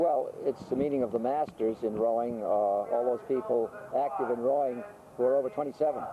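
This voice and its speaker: A man with an American accent talks fairly quickly at a medium pitch, with ordinary pitch variation. Noticeable background noise runs underneath. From Lowell, Massachusetts. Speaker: rowing coach and teacher. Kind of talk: interview answer. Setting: outdoors.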